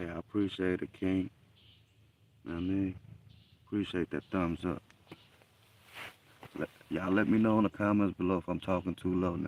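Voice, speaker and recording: A man with a very deep, low voice and a Southern US accent, a fairly quick pace broken by long, frequent pauses, and monotone, flat intonation. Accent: US South. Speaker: hunting livestreamer. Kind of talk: live stream commentary. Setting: outdoors in a deer blind in the woods.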